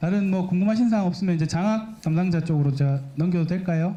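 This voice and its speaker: Here a man speaks with a high pitch and fairly even intonation. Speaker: university academic affairs staff. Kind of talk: orientation presentation with Q&A.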